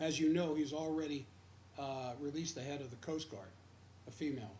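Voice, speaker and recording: In audible room echo, a man with an American accent speaks at a fairly quick pace, his fairly high pitch varying in an ordinary way. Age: 70s. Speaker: radio host. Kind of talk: radio commentary. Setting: radio studio, simulcast stream.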